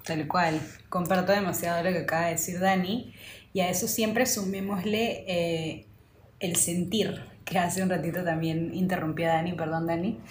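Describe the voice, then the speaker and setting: With noticeable background noise and audible room echo, a woman talks at a moderate pace in a fairly low pitch, her intonation fairly even. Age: 30s. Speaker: podcast co-host. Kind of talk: casual chat.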